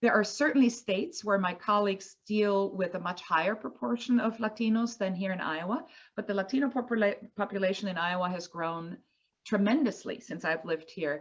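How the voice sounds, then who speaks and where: With a Spanish accent, a woman speaks at a fairly quick pace and a medium pitch, her intonation lively. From Colombia. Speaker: environmental advocate. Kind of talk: panel discussion. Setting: video call.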